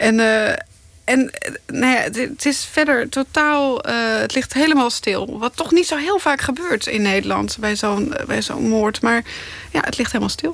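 A woman at a fairly slow pace, with noticeable background noise. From Netherlands, Zeeland. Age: 30s. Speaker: investigative journalist. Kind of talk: interview.

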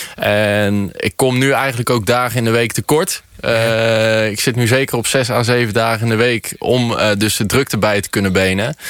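A man at medium pitch, moderate pace, fairly even intonation and hardly any pauses. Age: 20s. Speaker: shoemaker. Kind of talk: radio interview. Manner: hesitant, many fillers.

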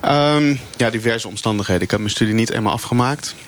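A man speaks over noticeable background noise. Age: 30s. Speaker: meal delivery courier, flex worker. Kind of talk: live radio debate. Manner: halting.

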